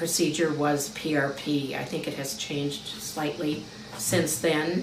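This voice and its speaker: With a very deep, low pitch, a woman speaks at a fairly slow pace and with fairly even intonation, amid audible room echo and noticeable background noise. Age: 70s. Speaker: patient giving a testimonial. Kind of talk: testimony.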